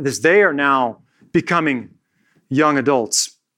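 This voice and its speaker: A man speaks in a bright, sharp tone at a fairly slow pace. The recording is very clean, with a silent background. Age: 40s. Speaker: pastor. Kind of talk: sermon. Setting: church.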